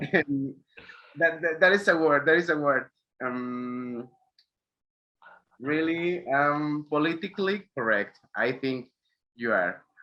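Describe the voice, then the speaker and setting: Pausing long and often at a very slow pace, a man with a Spanish accent talks in a fairly high pitch and ordinary pitch variation. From Mexico. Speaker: graphic designer. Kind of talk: interview. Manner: halting.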